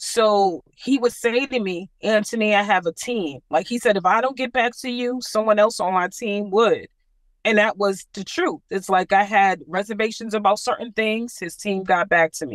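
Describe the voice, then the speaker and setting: In a very clean recording with a silent background and a dry, close sound with no echo, a woman with a plain, everyday voice speaks at a moderate pace and a medium pitch, with ordinary pitch variation. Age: 60s. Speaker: home buyer, satisfied client. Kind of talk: interview.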